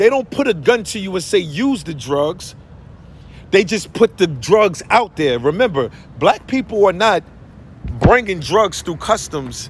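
Fairly slow delivery with a dry sound and no echo. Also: man. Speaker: social commentator. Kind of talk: impassioned vlog rant. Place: street. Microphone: phone near.

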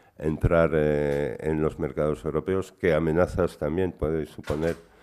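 A man speaks very slowly in a very deep, low voice with a dark, mellow tone and a monotone, flat intonation. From Belgium. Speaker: panel moderator and cyberactivist; panel moderator. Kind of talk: panel moderation. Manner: halting. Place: meeting room. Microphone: podium.

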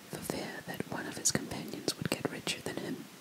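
Soft-spoken and whispering, a woman talks at a moderate pace. Loud background noise runs behind her. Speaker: storyteller. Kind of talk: storytelling reading aloud. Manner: soft close-mic ASMR whisper. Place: home room. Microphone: studio mic.

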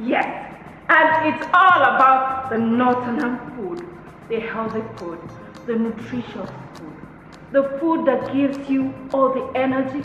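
A woman's high voice, very slow, with long, frequent pauses and big swings in loudness, amid audible room echo and clear music in the background. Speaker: show host. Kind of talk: cooking show introduction. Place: kitchen.

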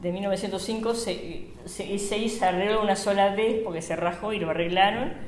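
With a Rioplatense accent, a woman talks at a fairly quick pace with ordinary pitch variation, amid light background noise and audible room echo. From Buenos Aires, Argentina. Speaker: bakery owner. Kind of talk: oral history interview. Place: shop.

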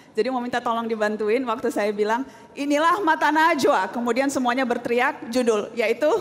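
A woman with a high pitch and ordinary pitch variation talks with hardly any pauses over noticeable background noise. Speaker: TV journalist and host. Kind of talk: casual backstage and stage talk.

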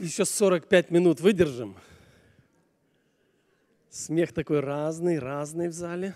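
The delivery is fairly slow, with ordinary pitch variation and a slightly mellow tone. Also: man, fairly high pitch for a man.

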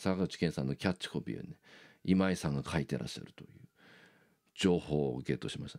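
A man's very deep, low voice with a dark, mellow tone, vocal fry, lively intonation and a fairly quick pace over a quiet background. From Japan. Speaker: YouTuber and bassist; YouTuber. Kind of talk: casual monologue. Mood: enthusiastic fan talk. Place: home room. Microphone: phone near.

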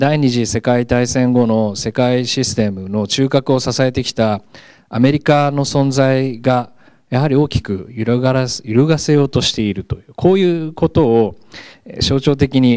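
A dark, mellow tone at a fairly slow pace, ordinary pitch variation and a quiet background. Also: man, medium pitch for a man. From Japan, Gunma. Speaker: professor. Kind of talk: lecture. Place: classroom. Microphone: handheld.

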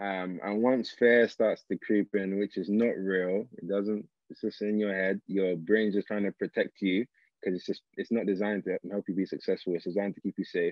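A man's fairly low, monotone voice with flat intonation and a London accent, at a moderate pace, dry with no echo over a quiet background. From South London, England. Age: 20s. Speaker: engineer and social entrepreneur; guest. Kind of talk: interview. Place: home room. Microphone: video call.

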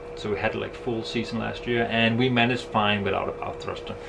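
The voice belongs to a man. Behind him, background noise is noticeable. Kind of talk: casual vlog chat. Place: boat. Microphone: phone near.

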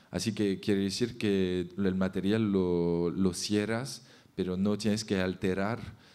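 Using a French accent, a man speaks very slowly in a fairly low, dark, mellow voice with monotone, flat intonation. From France. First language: French (speaking Spanish). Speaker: architect, festival founder. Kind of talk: panel presentation. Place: hall. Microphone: podium.

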